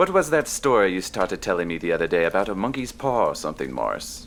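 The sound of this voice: In a put-on character voice, a woman speaks fast at an extremely low pitch with big pitch swings.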